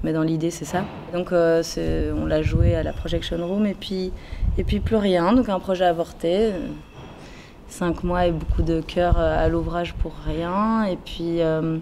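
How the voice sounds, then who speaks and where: A woman talks very slowly while noticeable background noise fills the recording. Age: 20s. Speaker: actress. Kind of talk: interview. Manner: halting, many fillers.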